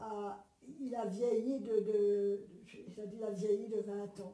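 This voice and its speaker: There is audible room echo around the speaker. She is a woman with a fairly high pitch. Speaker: war witness. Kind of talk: testimony. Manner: halting.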